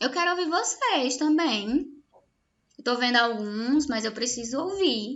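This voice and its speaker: Speaking at a fairly slow pace, a woman uses lively intonation and a high pitch. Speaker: nursing teacher. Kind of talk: online lecture.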